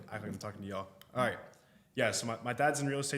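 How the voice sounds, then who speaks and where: With a Texan accent, a man talks at a very fast pace in a medium pitch. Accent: Texan American English. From Austin, Texas. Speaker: realtor and content creator. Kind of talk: podcast interview. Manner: casual, slightly halting.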